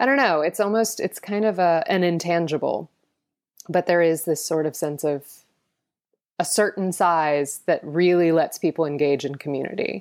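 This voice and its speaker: A woman with a normal speaking voice talks at a moderate pace in a fairly low pitch with ordinary pitch variation, on a very clean recording with a silent background. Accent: American. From US South, Atlanta. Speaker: founder of a sustainability education initiative. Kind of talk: interview.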